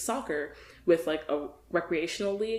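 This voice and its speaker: A woman with an American accent talks at a fairly quick pace in a fairly low pitch with ordinary pitch variation, a plain, everyday voice. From US South, Virginia. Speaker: podcast guest. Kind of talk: casual chat.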